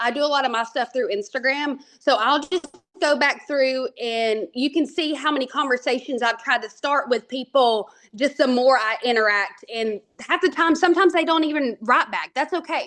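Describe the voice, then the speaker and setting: Here a woman talks at a moderate pace with ordinary pitch variation. Her voice is high, with an Alabama accent. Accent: Southern twang, Alabama. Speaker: network marketing trainer. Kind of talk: team training talk. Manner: animated, casual.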